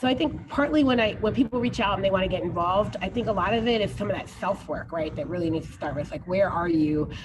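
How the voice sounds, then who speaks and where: With an American accent, a woman talks very fast with lively intonation and hardly any pauses, amid audible room echo and noticeable background noise. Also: medium pitch for a woman. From New Jersey, US. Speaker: keynote speaker, education activist. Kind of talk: Q&A after keynote talk.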